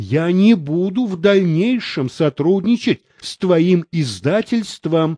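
The voice reads in an unforced way.

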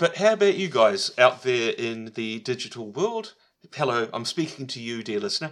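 Here a man talks in an unremarkable speaking voice at medium pitch. The pace is moderate, and the intonation is lively. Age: 40s. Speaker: podcast co-host. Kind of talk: casual chat.

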